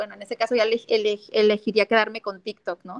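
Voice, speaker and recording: The sound is dry and close with no echo as a woman speaks at a fairly high pitch. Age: 30s. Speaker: feminist activist and political candidate. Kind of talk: interview conversation.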